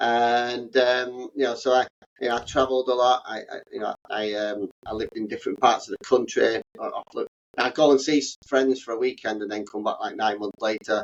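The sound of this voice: A man at medium pitch and moderate pace, with fairly even intonation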